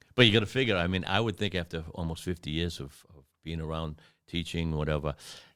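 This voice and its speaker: This man has a very deep, low pitch, ordinary pitch variation and big swings in loudness at a very fast pace. The recording is very clean, with a silent background. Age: 60s. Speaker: martial arts instructor and podcast host. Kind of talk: casual interview chat.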